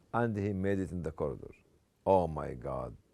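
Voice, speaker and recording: With an Egyptian accent, a man speaks at a moderate pace in a dark, mellow tone. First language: Arabic. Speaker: Islamic speaker. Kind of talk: lecture.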